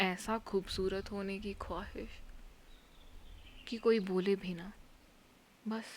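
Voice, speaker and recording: A woman at medium pitch speaks in a monotone, flat, somewhat breathy voice, with big swings in loudness and long, frequent pauses. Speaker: spoken word performer. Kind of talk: dramatic monologue. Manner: soft-spoken, emotional.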